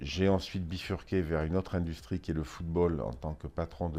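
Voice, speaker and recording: Against a quiet background, a man with a very deep, low pitch and a dark, mellow tone speaks at a fairly quick pace with ordinary pitch variation. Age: 60s. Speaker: business executive. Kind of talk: interview. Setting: office.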